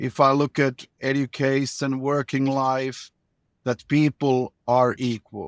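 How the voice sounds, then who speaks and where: A man speaks very slowly with a Finnish accent, his medium-pitched voice flat and monotone in a dry, close recording with no echo. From Finland. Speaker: former government minister. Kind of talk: interview. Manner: halting, repeats words.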